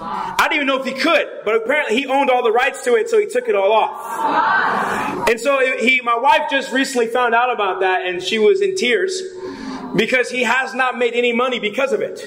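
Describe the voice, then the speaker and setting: Against noticeable background noise, a man speaks fairly quickly in an extremely high, raised, projected voice with an animated tone. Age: 30s. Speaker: pastor. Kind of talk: sermon. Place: hall. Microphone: podium.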